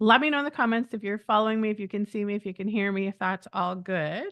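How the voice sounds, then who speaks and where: Talking very fast, a woman uses ordinary pitch variation. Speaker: medium and spiritual teacher. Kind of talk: live stream teaching. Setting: live stream with chat.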